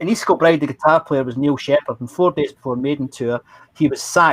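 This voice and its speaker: In a Glaswegian accent, a man talks at a very fast pace, fairly high in pitch with ordinary pitch variation, in a dry, close sound with no echo. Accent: Glaswegian Scottish. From Scotland, Glasgow. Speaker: former roadie recounting memories. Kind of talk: storytelling.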